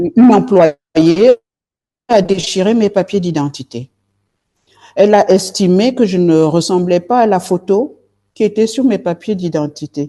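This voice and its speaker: A woman's dark, mellow tone with lively intonation, long, frequent pauses, and a dry, close sound with no echo. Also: medium pitch for a woman. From southern France, Marseille. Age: 60s. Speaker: politician, party leader. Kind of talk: interview. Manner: halting, many hesitations.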